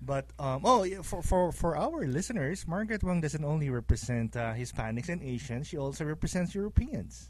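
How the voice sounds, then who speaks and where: A man's fairly high, somewhat breathy voice at a moderate pace, with lively intonation and hardly any pauses. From foreign born, immigrated to US. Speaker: radio co-host. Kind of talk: casual radio chat. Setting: radio studio.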